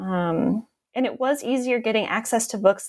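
A woman speaks with a New York State accent and ordinary pitch variation. The recording is very clean, with a silent background. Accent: American (New York State). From upstate New York (Southern Tier). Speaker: professor and author. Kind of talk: interview.

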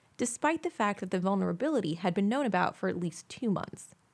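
Speaking at a fairly quick pace, a woman with a plain, everyday voice uses lively intonation at a medium pitch. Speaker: news reporter. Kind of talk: news reading, scripted tech news bulletin. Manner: formal; steady, brisk and even-paced, newsreader delivery.

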